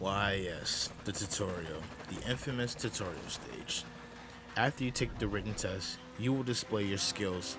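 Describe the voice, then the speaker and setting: With music playing behind him, a man speaks fairly slowly in a fairly low voice with ordinary pitch variation. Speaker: gaming video narrator. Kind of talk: gaming documentary narration.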